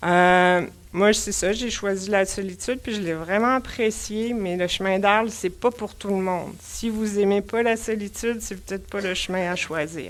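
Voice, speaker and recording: A woman speaks with a Quebec accent at a medium pitch and a fairly slow pace. Her intonation stays fairly even, with hardly any pauses. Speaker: pilgrim giving a talk. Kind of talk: public talk. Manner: casual, with many hesitations.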